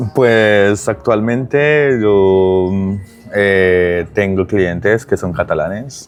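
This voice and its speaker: A man speaks very slowly in a strong Colombian accent, his fairly low voice moving with ordinary pitch variation over music in the background. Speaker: digital transformation consultant. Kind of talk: casual interview. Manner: hesitant, many fillers.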